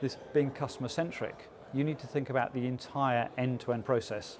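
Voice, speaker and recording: A man's fairly high-pitched voice at a fairly quick pace. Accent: English. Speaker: business executive. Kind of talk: interview. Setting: conference event. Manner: frequent filler 'uh'.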